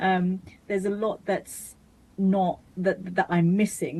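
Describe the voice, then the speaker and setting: A woman's dark, mellow voice with a British accent, fairly even intonation and a moderate pace. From Bangladesh-born, raised in Britain. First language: Bengali. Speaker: mental health charity founder. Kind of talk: interview. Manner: halting, many restarts.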